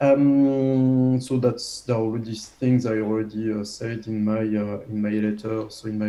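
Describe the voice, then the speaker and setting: A man's medium-pitched voice with a French accent and fairly even intonation. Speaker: habilitation reviewer. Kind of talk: academic defense review. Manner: halting, many fillers.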